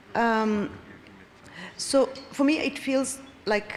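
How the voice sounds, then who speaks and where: A woman speaks with ordinary pitch variation amid audible room echo and noticeable background noise. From Kenya. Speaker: audience member asking questions. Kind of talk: conference Q&A comment.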